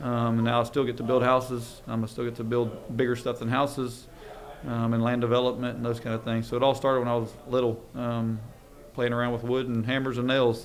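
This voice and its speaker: With audible room echo around him, a man of medium pitch talks at a fairly quick pace in a monotone, flat intonation. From Louisiana. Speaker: construction and land development business owner. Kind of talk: podcast interview. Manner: frequent filler ums.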